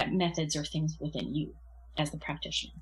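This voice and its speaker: Somewhat breathy and monotone, with flat intonation, a woman speaks at a very deep, low pitch. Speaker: Reiki master and energy healer. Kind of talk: casual interview.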